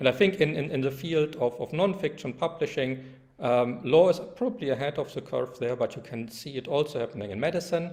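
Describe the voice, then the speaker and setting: A man with a German accent at a fairly quick pace, with fairly high pitch and lively intonation. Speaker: law professor. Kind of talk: lecture. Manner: halting, many fillers.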